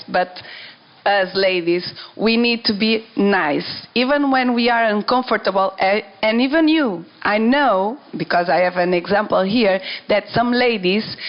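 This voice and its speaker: Her pitch fairly high with ordinary variation, a woman speaks at a fairly slow pace. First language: not English. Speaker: dancer. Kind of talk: panel discussion. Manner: halting.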